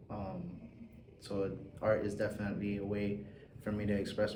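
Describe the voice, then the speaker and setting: Amid audible room echo, a man speaks at a fairly low pitch with monotone, flat intonation. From South Florida (Hialeah), Cuban and Puerto Rican family. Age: 20s. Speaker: artist. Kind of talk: interview.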